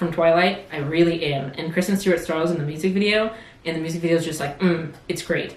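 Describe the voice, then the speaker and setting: Speech at a fairly quick pace comes with audible room echo and noticeable background noise. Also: woman. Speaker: video podcast host. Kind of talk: casual chat. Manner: fast.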